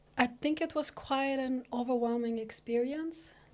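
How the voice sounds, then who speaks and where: The voice belongs to a woman with a dark, mellow tone. She speaks at a fairly slow pace. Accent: Arabic. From eastern Sudan. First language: Arabic. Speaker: researcher, immigrant. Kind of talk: podcast interview. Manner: halting, many fillers.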